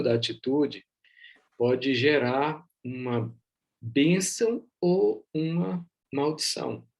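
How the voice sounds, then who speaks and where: The voice is a man's. It shows ordinary pitch variation. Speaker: bible teacher. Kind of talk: online bible class. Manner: soft-spoken.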